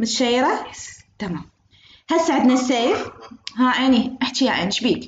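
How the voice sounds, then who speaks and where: In audible room echo, a high-pitched woman with an Iraqi accent speaks with lively intonation and big swings in loudness. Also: moderate pace. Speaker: university lecturer. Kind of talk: online lecture. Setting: video call.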